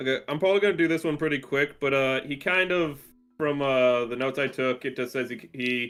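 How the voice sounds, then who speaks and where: A man's medium-pitched voice with ordinary pitch variation, music playing behind it. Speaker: streamer co-host. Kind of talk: casual chat.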